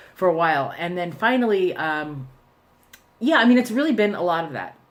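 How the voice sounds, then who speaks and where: Audible room echo surrounds a woman speaking at a fairly quick pace, her fairly low voice showing very wide pitch swings and big swings in loudness. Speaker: vlogger. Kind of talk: personal video diary. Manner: hesitant, many fillers.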